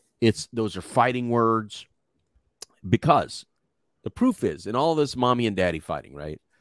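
With an American accent, a man speaks at a medium pitch in an animated tone, his voice making very wide pitch swings, recorded dry and close with no echo while music plays in the background. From Texas. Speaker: co-host. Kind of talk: casual chat. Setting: live online stream. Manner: animated, joking.

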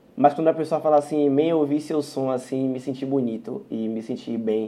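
The speaker has a Bahian accent and fairly even intonation. The pace is fairly quick. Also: man. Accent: Bahian Brazilian Portuguese. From Salvador, Bahia, Brazil. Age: 20s. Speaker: singer. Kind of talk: casual interview. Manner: casual slang-heavy.

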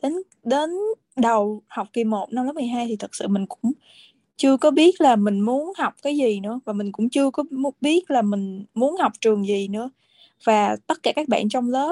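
Speaking fairly slowly, a woman with a high voice has a dark, mellow tone and lively intonation, recorded dry and close with no echo. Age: 20s. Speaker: flight attendant. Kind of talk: interview.

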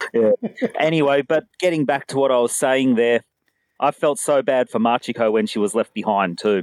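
The speaker has an Australian accent and keeps a moderate pace. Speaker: podcast co-host. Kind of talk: casual chat.

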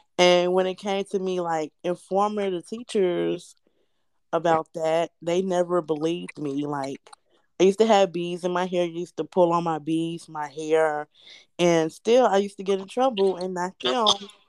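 On a very clean recording with a silent background and a dry, close sound with no echo, a woman uses a normal speaking voice, fairly low in pitch, at a moderate pace with fairly even intonation. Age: 20s. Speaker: host's best friend. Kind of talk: casual chat.

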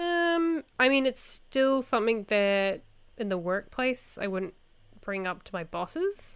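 In a New Zealand accent, a woman speaks at a high pitch and a fairly slow pace. Her pitch swings very widely on a very clean recording with a silent background. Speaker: podcast host. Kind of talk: casual chat.

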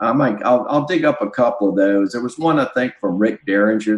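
Speaking with a Southern US accent, a man keeps a medium pitch, a moderate pace and ordinary pitch variation. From US South. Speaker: musician and record producer. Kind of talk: casual interview chat.

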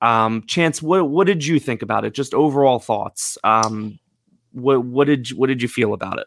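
Recorded very cleanly against a silent background, with a dry, close sound and no echo, a man with a normal speaking voice talks at a medium pitch and moderate pace, with ordinary pitch variation. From United States. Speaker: movie podcast host. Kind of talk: casual chat.

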